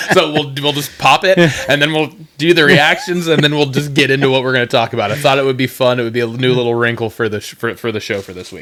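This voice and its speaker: A man speaks at a very fast pace with big swings in loudness, against noticeable background noise. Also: medium pitch for a man, ordinary pitch variation. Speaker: podcast co-host. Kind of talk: casual chat. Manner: halting.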